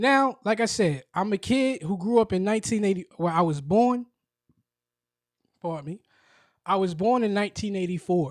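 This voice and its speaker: An animated man with a New York accent, high-pitched, at a moderate pace with long, frequent pauses and ordinary pitch variation, dry and close with no echo on a very clean recording with a silent background. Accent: New York City. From Brooklyn, New York. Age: 40s. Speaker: podcaster. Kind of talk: casual monologue.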